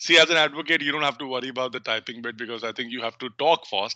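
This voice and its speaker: A man with an Indian accent speaks in a bright, sharp tone with ordinary pitch variation, the sound dry with no echo and the background quiet. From North India. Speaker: legal research software trainer. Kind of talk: online training tutorial. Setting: video call. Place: home room. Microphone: headset.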